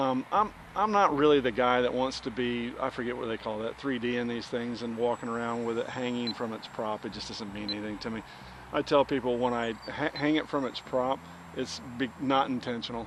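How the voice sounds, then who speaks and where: A man talks at a fairly quick pace and a medium pitch. His intonation is fairly even, and there is noticeable background noise. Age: 60s. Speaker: RC plane hobbyist vlogger. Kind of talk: casual vlog chat while flying. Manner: halting, many fillers and repeats.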